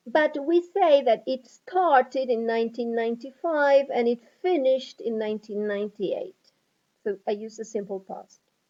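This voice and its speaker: A woman's high-pitched voice with lively intonation, at a moderate pace. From Argentina. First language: Spanish. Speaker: English teacher. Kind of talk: lecture. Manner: clear, measured teaching pace.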